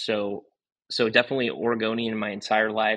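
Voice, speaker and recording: Against a quiet background, a man speaks in a fairly low, bright and sharp voice. His intonation is flat and monotone. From Oregon coast, US Pacific Northwest. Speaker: golf course owner and head pro. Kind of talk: casual interview.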